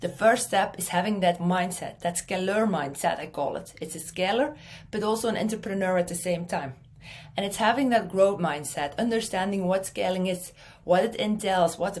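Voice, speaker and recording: Somewhat breathy and fairly quick, a woman speaks at a medium pitch in a Belgian accent, with ordinary pitch variation. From Belgium. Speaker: marketing speaker. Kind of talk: conference talk.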